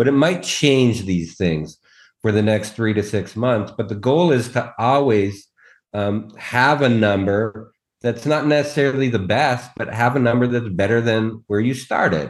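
This man has a normal speaking voice, talking at a moderate pace in a medium pitch with ordinary pitch variation. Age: 40s. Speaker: longevity doctor. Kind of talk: casual chat.

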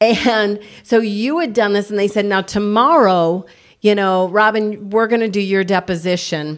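At a moderate pace, a woman uses an ordinary speaking voice at medium pitch with ordinary pitch variation. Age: 50s. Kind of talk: casual faith chat and testimony.

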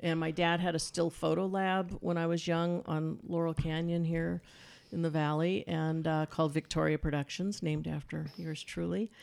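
This woman has a fairly low voice and a flat, monotone delivery with an American accent. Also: moderate pace. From Los Angeles, US. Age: 60s. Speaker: sound editor and filmmaker. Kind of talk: interview.

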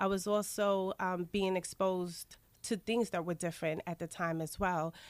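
A woman with a New York accent speaks with ordinary pitch variation, recorded very cleanly against a silent background in a dry, close sound with no echo. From Queens, New York. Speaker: aromatherapy wellness coach. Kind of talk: radio interview.

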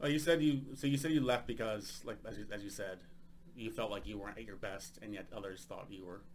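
With an American accent, a man talks at a very fast pace and a medium pitch. His intonation is lively, and his loudness swings widely. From United States. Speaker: podcast host and stand-up comedian. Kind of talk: casual interview chat.

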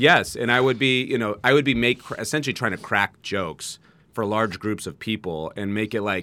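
A man with a fairly low pitch, an American accent and a bright, sharp tone, at a moderate pace with ordinary pitch variation, in a very clean recording with a silent background. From US West Coast, San Jose, California. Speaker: entrepreneur. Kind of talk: casual chat. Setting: studio.

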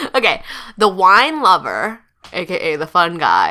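A woman talks at a fairly slow pace. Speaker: podcast co-host; English tutor. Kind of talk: casual chat.

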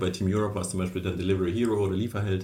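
There is audible room echo as a man speaks at a very fast pace. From Kazakhstan, moved to Germany 1989 as a child. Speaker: startup founder. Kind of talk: interview. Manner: animated.

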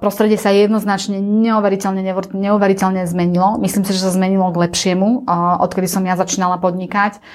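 Very fast and monotone with flat intonation, a woman speaks with medium pitch and very even loudness. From central Slovakia, near Banská Štiavnica. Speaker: travel agency owner and CEO. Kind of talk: interview.

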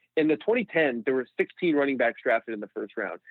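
This man has an unremarkable speaking voice, pitched fairly high. He talks at a fairly quick pace with lively intonation. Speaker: sports TV producer and stats analyst. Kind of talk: podcast interview.

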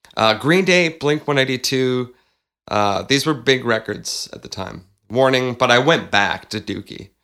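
Recorded very cleanly over a silent background, a man with a Canadian accent talks at a fairly slow pace in a bright, sharp tone at medium pitch. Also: ordinary pitch variation, big swings in loudness. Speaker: podcast co-host, musician. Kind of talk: casual chat. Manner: calm, not hyper.

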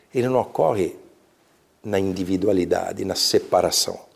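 A very clean recording with a silent background captures a man talking at a moderate tempo. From Brazil, São Paulo. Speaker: leader of a mystical order. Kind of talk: interview. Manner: halting.

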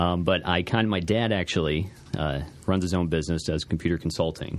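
A man with a very deep, low pitch talks at a fairly quick pace with ordinary pitch variation. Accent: American. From Alton, Illinois. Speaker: frozen custard shop owner. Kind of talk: radio interview. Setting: radio studio.

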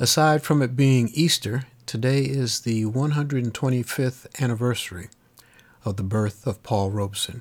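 Using an ordinary speaking voice, a man talks at a fairly slow pace and a medium pitch with ordinary pitch variation. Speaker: radio host. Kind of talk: radio DJ patter. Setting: remote studio in Texas. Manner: smooth, warm, steady announcer delivery; clear, upbeat, informative, rattling off station info and track credits.

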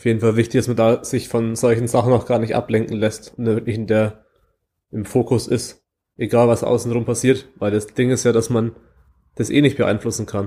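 On a very clean recording with a silent background, a man speaks at a moderate pace with a medium pitch, a dark, mellow tone, and monotone, flat intonation. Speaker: podcast host. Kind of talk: casual chat.

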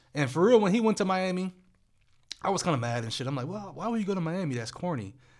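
In an American accent, a man talks very fast at a high pitch with very wide swings, and the room echo is audible. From US Midwest, Akron, Ohio. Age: 20s. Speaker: podcast host. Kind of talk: casual chat.

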